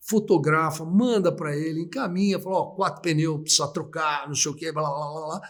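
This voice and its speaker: This man has an unremarkable speaking voice with a fairly high pitch. His intonation is fairly even. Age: 60s. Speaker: auctioneer. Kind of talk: interview. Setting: live stream.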